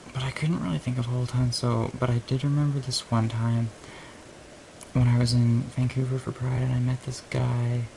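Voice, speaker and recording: A man speaks quietly at a medium pitch. His pace is moderate and his intonation flat and monotone. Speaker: video blogger. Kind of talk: casual chat.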